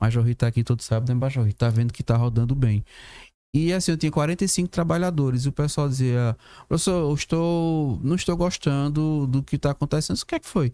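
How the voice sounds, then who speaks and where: Fairly high-pitched man's voice, dark and mellow, with ordinary pitch variation at a fairly quick pace, dry and close with no echo, in a very clean recording with a silent background. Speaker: professor and labor law guest. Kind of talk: podcast discussion. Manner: fast.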